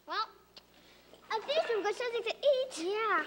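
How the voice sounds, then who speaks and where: A woman puts on a character voice that is squeaky and extremely high in pitch. She speaks at a moderate pace with lively intonation. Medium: short film.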